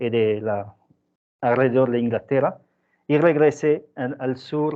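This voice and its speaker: In a French accent, a man speaks at a fairly slow pace with ordinary pitch variation. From southern France. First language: French (speaking Spanish). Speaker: scientist. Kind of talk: seminar talk. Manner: halting.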